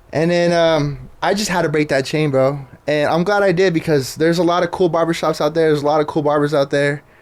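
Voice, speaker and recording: Talking with an American accent, a man speaks at a very fast pace with hardly any pauses. His pitch is fairly high and his loudness stays very even. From Southern California (Riverside). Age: 20s. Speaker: Instagram page creator, former truck driver. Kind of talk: casual podcast interview. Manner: casual, filler-heavy.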